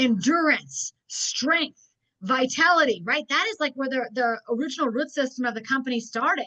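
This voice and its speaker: Raising and projecting her high-pitched voice, a woman speaks at a moderate pace in an animated tone with lively intonation. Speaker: network marketing trainer. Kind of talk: business training webinar.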